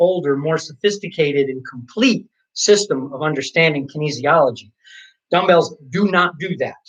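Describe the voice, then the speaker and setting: This man has an ordinary speaking voice, fairly high in pitch, with ordinary pitch variation at a moderate pace. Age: 50s. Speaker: certified kettlebell trainer. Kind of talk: live workout stream, explanation.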